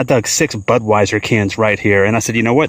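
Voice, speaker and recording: Noticeable background noise sits behind a man speaking at a very fast pace. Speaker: metal detecting youtuber. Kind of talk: outdoor vlog narration. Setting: outdoors.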